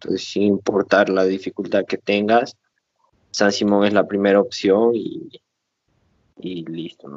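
Speaking at a fairly slow pace with long, frequent pauses, a man uses a fairly low pitch and fairly even intonation. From Bolivia, Cochabamba. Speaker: cardiovascular surgeon. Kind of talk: casual interview.

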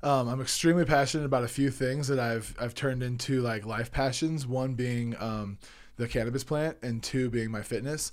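Speaking at a moderate pace, the man uses an ordinary speaking voice, medium pitch and fairly even intonation. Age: 40s. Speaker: former college football lineman and cannabis advocate. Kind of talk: casual interview chat. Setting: studio.

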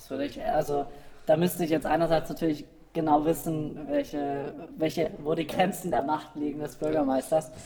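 Against noticeable background noise, a man talks at a moderate pace in a fairly high pitch, his intonation monotone and flat while his loudness swings widely. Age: 20s. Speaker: voter guest, office employee. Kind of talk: casual interview chat. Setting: radio studio, live broadcast.

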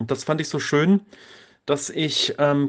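A man speaks at a moderate pace in a fairly high voice against a quiet background. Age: 50s. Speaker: volunteer mentor and author. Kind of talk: interview.

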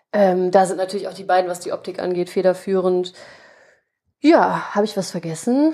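A woman with a dark, mellow tone at medium pitch, fairly quick in pace, with ordinary pitch variation and long, frequent pauses. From Germany, Krefeld (Lower Rhine). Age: 20s. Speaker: writer and editor. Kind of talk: casual interview.

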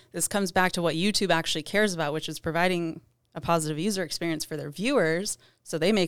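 A woman with an American accent speaks at a fairly quick pace in a fairly low pitch, with fairly even intonation and an unremarkable speaking voice, on a very clean recording with a silent background. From Michigan, US Midwest. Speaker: YouTube consultant. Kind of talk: interview. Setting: studio.

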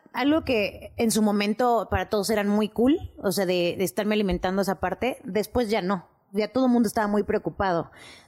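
A woman with an unremarkable speaking voice talks at a fairly high pitch and a fairly quick pace. Her loudness stays very even, with ordinary pitch variation. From Mexico City. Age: 20s. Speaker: podcast production staff. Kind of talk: casual chat. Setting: studio.

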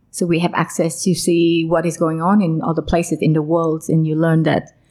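Speaking with a Vietnamese accent, a woman uses a fairly low pitch and a dark, mellow tone at a moderate pace in a very clean recording with a silent background. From Vietnam (born Hanoi, raised Saigon). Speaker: social enterprise founder. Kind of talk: casual interview. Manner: animated, laughs often.

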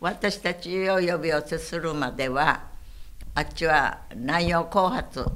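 A woman speaks at a very slow pace. Her voice sits fairly low, with ordinary pitch variation. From Saipan, from Okinawa. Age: 90s. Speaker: war survivor. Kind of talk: testimony.

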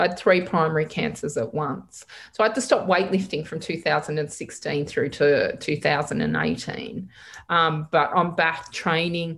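Keeping a moderate pace, a woman talks with an Australian accent. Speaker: public speaker and resilience coach living with MS. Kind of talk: casual interview. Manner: hesitant, many fillers.

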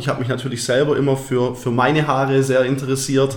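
There is noticeable background noise and audible room echo. Over it, a man speaks at a medium pitch. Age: 20s. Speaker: barber and business owner. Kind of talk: interview.

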